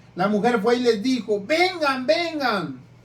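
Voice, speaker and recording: In a room with audible echo, a man speaks at an extremely high pitch. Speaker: preacher. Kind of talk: sermon. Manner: stutters when reading; rough, plain speech.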